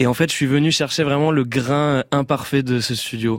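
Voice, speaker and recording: A man talks at a moderate pace with fairly even intonation. It is a normal speaking voice. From southwest France. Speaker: pop singer. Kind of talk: radio interview. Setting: radio studio.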